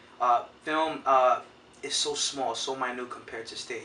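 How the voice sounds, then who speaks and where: A man speaks over noticeable background noise. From New York City, East Harlem, Puerto Rican family. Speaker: actor. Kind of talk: interview. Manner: loud.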